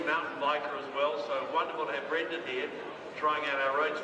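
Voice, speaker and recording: There's audible echo from the room around this man. Background noise is noticeable too. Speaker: event announcer. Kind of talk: event announcement. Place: street. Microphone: pa.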